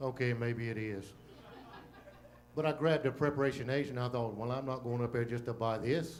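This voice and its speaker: A man's fairly quick speech with long, frequent pauses, fairly even intonation and audible room echo. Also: medium pitch for a man. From Louisiana. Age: old. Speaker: comedian. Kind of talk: stand-up. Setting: stage with audience. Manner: monotone.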